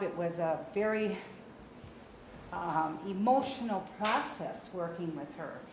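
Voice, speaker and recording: A woman's medium-pitched voice, fairly slow and lively in intonation, with noticeable background noise and audible room echo. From Brazil. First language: Portuguese. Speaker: memoir author. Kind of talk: talk to an audience.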